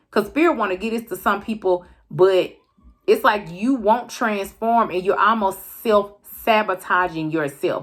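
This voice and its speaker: A woman's medium-pitched, ordinary speaking voice, with ordinary pitch variation and a fairly slow pace. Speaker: tarot card reader. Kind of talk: tarot reading to camera.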